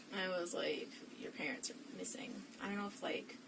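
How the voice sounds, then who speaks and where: A woman with a fairly high pitch talks at a moderate pace, with audible room echo and noticeable background noise. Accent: American. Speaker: witness in police interview. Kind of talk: police interview.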